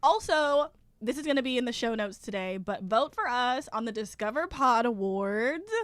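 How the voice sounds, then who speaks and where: Loud and high-pitched, a woman talks at a moderate pace with lively intonation. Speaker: podcast co-host. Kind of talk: casual chat. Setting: podcast recording with headphones.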